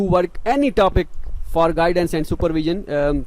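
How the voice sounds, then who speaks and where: A man's voice over noticeable background noise. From Pakistan. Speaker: scholarship advice youtuber. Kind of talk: tutorial. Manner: halting; unscripted.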